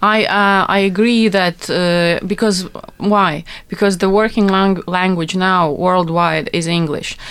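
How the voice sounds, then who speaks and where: The speaker uses a Latvian accent at a fairly slow pace. Loudness stays very even and intonation fairly even. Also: woman, medium pitch for a woman. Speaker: translator. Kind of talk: casual chat. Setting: studio.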